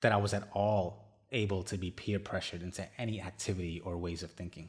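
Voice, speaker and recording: The voice moves at a very fast pace, somewhat breathy, with monotone, flat intonation. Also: man, very deep, low pitch for a man, very clean recording, silent background. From India, moved to US at about 12. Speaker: podcast host. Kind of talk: personal monologue.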